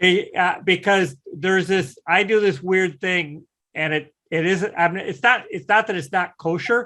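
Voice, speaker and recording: Speaking at a fairly slow pace in a raised, projected voice, a man with an American accent has a high pitch, a bright, sharp tone and ordinary pitch variation. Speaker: CNC software instructor. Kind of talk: online class lecture.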